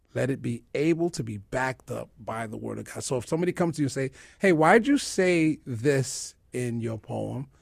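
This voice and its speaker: A man talks in a normal speaking voice at a medium pitch and moderate pace. There are hardly any pauses, and his pitch variation is ordinary. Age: 40s. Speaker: spoken word poet and minister. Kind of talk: interview.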